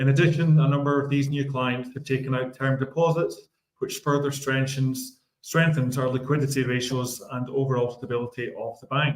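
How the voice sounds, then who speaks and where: A man with a Scottish accent and a fairly high, somewhat breathy voice speaks at a moderate pace in a monotone, flat intonation. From Scotland. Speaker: bank executive. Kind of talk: business report. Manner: formal, scripted.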